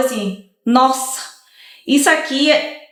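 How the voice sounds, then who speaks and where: A woman speaks in a high pitch. Her voice carries audible room echo. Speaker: lawyer. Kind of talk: casual chat.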